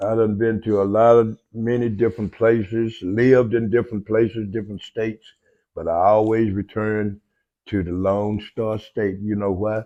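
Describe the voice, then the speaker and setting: A man's fairly low, dark and mellow voice in a flat monotone at a moderate pace, against a quiet background. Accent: West Texas. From Lubbock, Texas. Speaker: podcast co-host, army veteran. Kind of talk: casual chat.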